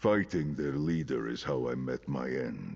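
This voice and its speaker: A man performs a put-on character voice. He keeps a moderate pace with ordinary pitch variation. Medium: video game. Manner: formal, archaic.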